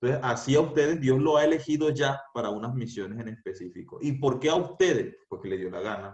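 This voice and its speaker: Fairly quick, somewhat breathy speech from a man, with ordinary pitch variation. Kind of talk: youth talk. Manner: serious.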